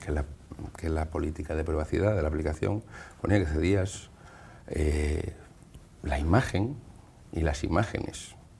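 His voice is very deep and low, somewhat breathy, with a dark, mellow tone. The man keeps a moderate pace with ordinary pitch variation. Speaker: computer trainer. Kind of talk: casual chat. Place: studio. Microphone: lapel.

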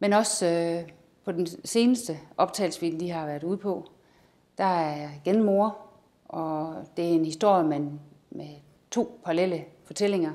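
Pausing long and often, a woman speaks at a fairly slow pace in a dark, mellow tone with ordinary pitch variation. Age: 50s. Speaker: amateur actor. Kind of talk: self-presentation. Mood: warm, calm. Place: studio.

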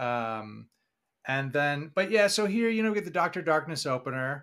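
A man with an American accent has an unremarkable speaking voice and lively intonation. He speaks at a moderate pace on a very clean recording with a silent background. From Boston area. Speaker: podcast co-host. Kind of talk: casual chat.

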